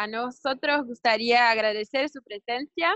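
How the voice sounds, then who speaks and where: High in pitch, a woman speaks with ordinary variation in her pitch. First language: Portuguese (speaking Spanish). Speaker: webinar host. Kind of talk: online interview / panel talk. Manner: halting.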